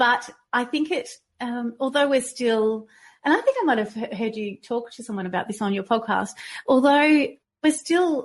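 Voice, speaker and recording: With an Australian accent, a woman talks over a quiet backdrop. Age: 50s. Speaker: fitness trainer and health coach. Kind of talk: interview.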